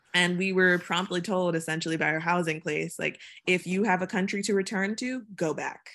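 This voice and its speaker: With a medium pitch and fairly even intonation, a woman talks in an ordinary speaking voice on a very clean recording with a silent background. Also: fairly quick pace. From Virginia (Chesapeake), US South. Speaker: poet. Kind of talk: casual interview.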